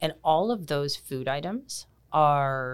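A woman's very deep, low voice with a Canadian accent, in a very clean recording against a silent background. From Canada, Kitchener, Ontario. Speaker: personal trainer and nutrition coach. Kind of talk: casual interview. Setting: studio.

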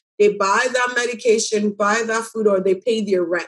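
A woman with an unremarkable speaking voice, fairly high in pitch, at a moderate pace with fairly even intonation. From Ghana, moved to Canada as a child. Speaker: community farm director and food justice activist. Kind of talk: interview.

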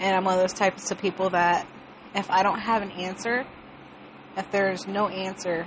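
A woman's medium-pitched voice at a moderate pace, fairly even in intonation, over noticeable background noise. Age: 20s. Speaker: podcaster. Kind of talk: personal monologue. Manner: rambling.

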